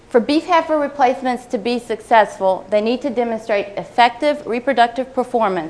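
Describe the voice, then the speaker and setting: A woman's high pitch with ordinary pitch variation, over noticeable background noise. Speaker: agricultural researcher. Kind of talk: conference talk. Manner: fast.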